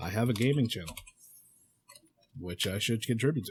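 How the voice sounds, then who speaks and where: A man's somewhat breathy mumbling at a medium pitch and a moderate pace. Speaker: podcast host. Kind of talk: casual solo podcast monologue. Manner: halting, many fillers and restarts.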